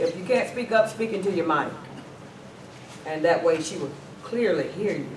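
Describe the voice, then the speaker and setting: Loud and lively in intonation, a man with a Southern US accent speaks at a high pitch and a moderate pace, with noticeable background noise and audible room echo. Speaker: mayor chairing a town council meeting. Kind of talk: council meeting, chairing and debate.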